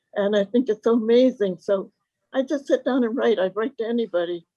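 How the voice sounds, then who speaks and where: A woman with an American accent and a dark, mellow tone speaks at a fairly high pitch and a fairly quick pace, with ordinary pitch variation and a dry, close sound with no echo. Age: 90s. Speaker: WWII veteran worker. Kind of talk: interview.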